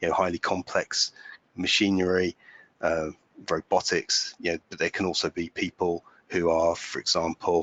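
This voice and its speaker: A man with a British accent, very deep low pitch, and a moderate pace. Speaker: digital workplace consultant. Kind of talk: webinar presentation. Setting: webinar. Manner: halting, many fillers.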